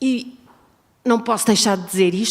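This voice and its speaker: Her pitch is fairly high and her pace moderate. This woman keeps her intonation fairly even. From Portugal. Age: 60s. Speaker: audience member, domestic violence survivor. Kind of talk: audience intervention at a forum. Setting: university auditorium. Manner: halting, repeating words.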